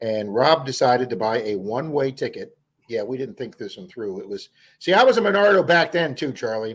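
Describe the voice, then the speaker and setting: Loudness swings widely and pitch jumps over a very wide range in this fairly quick delivery with an American accent. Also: man, medium pitch for a man. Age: 60s. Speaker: metal detecting youtuber, live stream host. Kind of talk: casual live stream chat. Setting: live stream.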